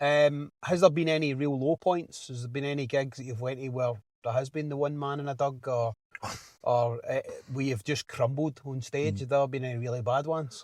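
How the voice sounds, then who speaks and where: The speaker is a man with a fairly high pitch. He talks at a fairly quick pace with fairly even intonation. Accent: Glasgow. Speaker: podcast host. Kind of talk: casual interview chat. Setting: in a parked car.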